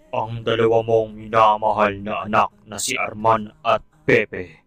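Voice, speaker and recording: A man's solemn, cartoonish character voice, fairly low in pitch and fairly slow, over faint music in the background. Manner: solemn, grave.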